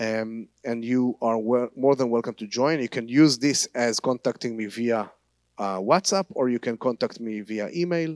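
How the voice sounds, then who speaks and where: A man with an Israeli accent and medium pitch speaks at a moderate pace with ordinary pitch variation, in a very clean recording with a silent background and dry, close sound with no echo. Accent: Hebrew. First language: Hebrew. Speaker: tour guide and Bible teacher. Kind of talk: church talk. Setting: church service. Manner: halting.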